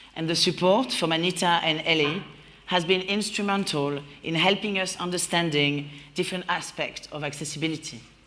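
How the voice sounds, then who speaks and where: A woman speaks with a French accent and a fairly low pitch. Room echo is audible. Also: ordinary pitch variation, fairly quick pace. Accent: mild French. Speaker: creative producer and event host. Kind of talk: opening speech at live event. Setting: warehouse venue with audience. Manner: smiling voice.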